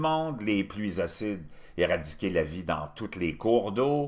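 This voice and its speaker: A man with very wide pitch swings, over a quiet background. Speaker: commentary show host. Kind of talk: commentary.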